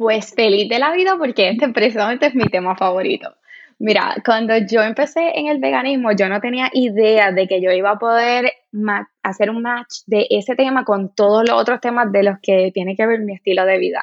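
At a moderate pace, an ordinary speaking voice delivers its words with ordinary pitch variation. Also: woman, fairly high pitch for a woman. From Puerto Rico, Cabo Rojo. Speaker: vegan and sustainable fashion content creator. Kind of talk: interview.

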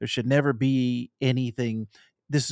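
At a moderate pace, a plain, everyday voice speaks in an American accent in a very clean recording with a silent background. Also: man. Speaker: podcast guest. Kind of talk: casual chat.

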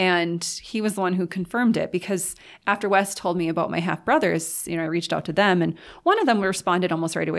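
In a very clean recording with a silent background, a woman with vocal fry talks fairly quickly in a fairly low voice with fairly even intonation. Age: 30s. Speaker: fantasy author and creative writing teacher. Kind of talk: casual interview chat.

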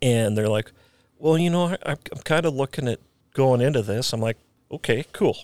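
An unremarkable speaking voice with an American accent and lively intonation moves at a moderate pace. The very clean recording has a silent background and a dry, close sound with no echo. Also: man, medium pitch for a man. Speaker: Special Forces soldier, former police officer. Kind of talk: casual chat.

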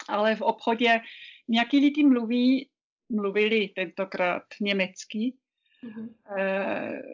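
At a very slow pace, a woman with a non-native accent speaks in a fairly high pitch with ordinary pitch variation. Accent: foreign accent in Czech. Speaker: business chamber director. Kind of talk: interview. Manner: halting.

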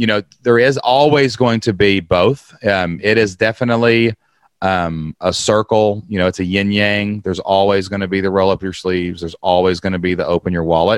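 Over a quiet background, a man with an American accent has an ordinary speaking voice at a fairly low pitch, moving at a moderate pace with hardly any pauses in a dry, close sound with no echo. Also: ordinary pitch variation. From small-town US. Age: 40s. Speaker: online business coach. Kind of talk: casual chat.

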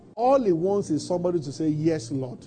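A man with a Nigerian accent speaks at a fairly high pitch, his tone dark and mellow and his intonation lively. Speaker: pastor. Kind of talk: sermon. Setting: church. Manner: animated.

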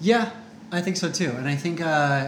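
The intonation is lively and the pace moderate. Noticeable background noise is present. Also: man. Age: 30s. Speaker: podcast co-host, author and speaker. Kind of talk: casual podcast conversation. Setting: live Facebook broadcast.

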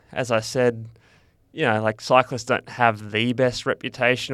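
A man's medium-pitched voice with fairly even intonation, on a very clean recording with a silent background. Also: dry, close sound with no echo. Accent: Australian. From Western Australia (Perth). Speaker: ultra-endurance cyclist. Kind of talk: interview.

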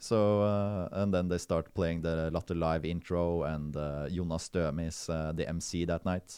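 Against a quiet background, a man with a Norwegian accent speaks in a very deep, low, dark and mellow voice, his intonation monotone and flat. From rural Norway. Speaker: stand-up comedian. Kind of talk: casual chat. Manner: halting.

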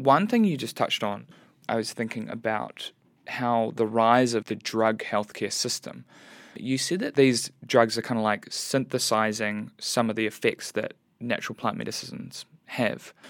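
A man with a New Zealand accent, medium pitch and fairly even intonation, on a very clean recording with a silent background. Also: moderate pace. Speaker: podcast host. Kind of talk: casual chat.

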